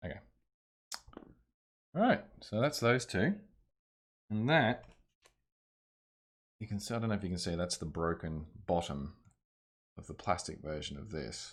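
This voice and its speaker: A man with an Australian accent and a fairly low pitch, very wide pitch swings, big swings in loudness, long, frequent pauses, and a moderate pace. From Australia (Ballarat, Victoria). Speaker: streamer. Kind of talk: live-stream repair tutorial. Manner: casual, thinking aloud.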